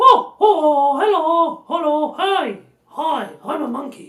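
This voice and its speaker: This is a put-on character voice pitched high. It goes at a very slow pace. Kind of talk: posh, upper-class.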